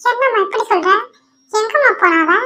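At a moderate pace, a woman uses a squeaky, cartoonish character voice with an extremely high pitch. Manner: anxious, questioning.

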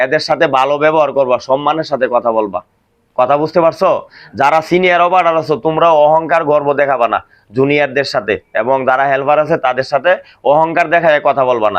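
A man with an unremarkable speaking voice talks at a fairly high pitch. His loudness is very even and his pitch variation ordinary. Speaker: factory supervisor. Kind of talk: staff meeting talk. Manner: call-and-response questioning.

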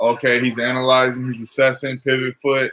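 Light background noise sits behind a man speaking with monotone, flat intonation. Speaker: sports fan commentator. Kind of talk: live sports commentary, casual play-by-play to a tiny live chat. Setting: live stream while watching the game. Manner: casual, off-the-cuff, play-by-play with jokes and reactions. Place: home room. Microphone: webcam.

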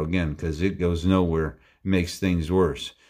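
A man's very deep, low voice in an American accent, at a moderate pace over a quiet background. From US Pacific Northwest. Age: 70s. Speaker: video blogger, speaker. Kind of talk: casual rambling monologue with a closing testimony. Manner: rambling, halting, with many fillers. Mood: earnest, heartfelt. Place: home room. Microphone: phone near.

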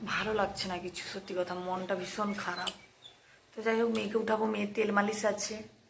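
Over noticeable background noise and audible room echo, a woman speaks at a medium pitch in a monotone, flat intonation. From Purba Medinipur, West Bengal. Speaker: vlogger, army wife. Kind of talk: casual vlog talk. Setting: at home in quarters.

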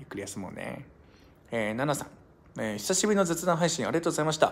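Very fast speech with vocal fry, very wide pitch swings and big shifts in loudness. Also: man. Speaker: live streamer. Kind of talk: casual chat. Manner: casual, chatty, laughs often. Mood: relaxed, cheerful. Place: home room. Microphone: phone near.

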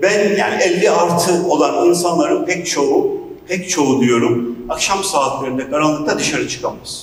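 A man is speaking. Audible room echo and light background noise can be heard. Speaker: speaker. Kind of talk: public talk. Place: hall.

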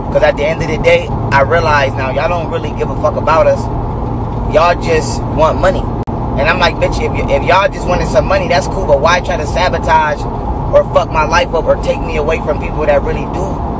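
Loud background noise sits behind a man speaking at a fairly quick pace, with a dry sound and no echo. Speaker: vlogger. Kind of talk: casual vlog rant. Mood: angry, venting. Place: car. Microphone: phone near.

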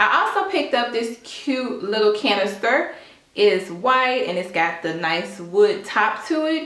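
A woman speaks at a moderate pace. Room echo can be heard. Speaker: home decor vlogger. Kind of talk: casual haul vlog chat. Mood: cheerful, enthusiastic. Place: kitchen. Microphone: camera far.

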